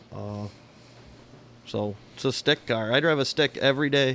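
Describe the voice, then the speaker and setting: A man speaks in a Michigan accent at a medium pitch. His pace is moderate and his pitch varies in an ordinary way. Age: 40s. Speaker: podcast co-host, car enthusiast. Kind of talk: casual chat.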